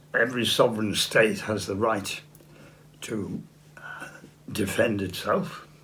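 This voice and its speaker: With audible room echo, a man in an English accent speaks at a fairly slow pace, with long, frequent pauses and big swings in loudness. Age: 80s+. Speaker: political activist. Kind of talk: interview. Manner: halting.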